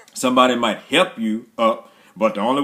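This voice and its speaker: Over noticeable background noise, a man speaks in an animated tone at a medium pitch. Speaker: motivational speaker. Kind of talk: motivational livestream talk. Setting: live video stream.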